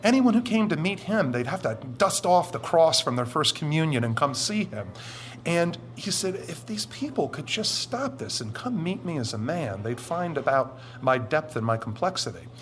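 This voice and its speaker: Music plays in the background as a man talks at a moderate pace. His pitch is fairly high and swings very widely. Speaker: anonymous witness, former military, Satanist. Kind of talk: interview testimony.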